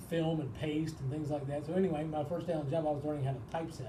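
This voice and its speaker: Over noticeable background noise and audible room echo, a man speaks at a fairly quick pace with fairly even intonation. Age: 60s. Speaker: university sports information director. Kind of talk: interview.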